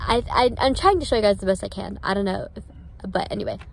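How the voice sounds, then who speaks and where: A woman talks at a very fast pace, her voice dry with no echo. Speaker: vlogger. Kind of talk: casual vlog chat. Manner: numb mouth, talking with jaw wide open. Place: car. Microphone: phone near.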